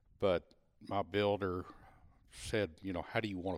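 A man speaks with a Texan accent. His pitch is very deep and low. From Texas. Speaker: retired salesman and hunter. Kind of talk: casual interview, storytelling. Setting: at home in person.

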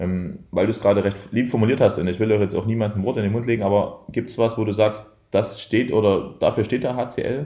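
Fairly low in pitch, a man speaks at a fairly quick pace with a dark, mellow tone and fairly even intonation. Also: hardly any pauses. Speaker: handball coach. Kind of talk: interview. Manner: indistinct, slurred.

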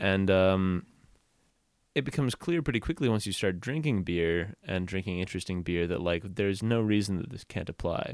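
With an American accent, a man speaks at a moderate pace in a very deep, low pitch, on a very clean recording with a silent background. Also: ordinary pitch variation. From Portland, Oregon, US Northwest. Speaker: restaurant server. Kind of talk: casual chat.

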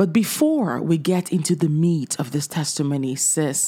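A woman speaks with a warm, enthusiastic tone. Her pitch is very deep and low, with ordinary pitch variation. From Nigeria. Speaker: podcast host. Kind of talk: casual faith-based interview.

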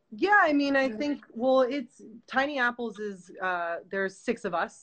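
A woman's very slow speech in an American accent with ordinary pitch variation. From New York. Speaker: film director and producer. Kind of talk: casual chat interview.

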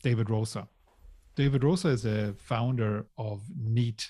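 A man's fairly low, somewhat breathy voice with a dark, mellow tone, fairly even intonation and a fairly slow pace, on a very clean recording with a silent background. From Germany. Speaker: tech company CEO and co-founder. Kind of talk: interview storytelling.

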